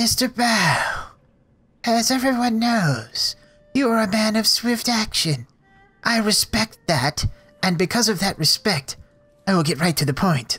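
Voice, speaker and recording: A put-on character voice at a fairly high pitch, with a fairly slow pace, long, frequent pauses, and faint music in the background. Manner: formal, direct, businesslike.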